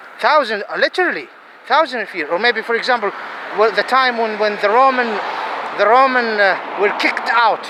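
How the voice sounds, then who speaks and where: With noticeable background noise, a man speaks at a fairly quick pace in a raised, projected, animated voice at an extremely high pitch, with ordinary pitch variation and long, frequent pauses. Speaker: religious-political video commentator. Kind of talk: impassioned monologue. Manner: halting.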